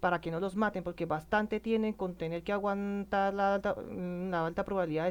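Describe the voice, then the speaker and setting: Fairly quick and fairly even in intonation, a woman's voice moves along. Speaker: political commentator. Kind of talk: emotional monologue. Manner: halting, many self-corrections.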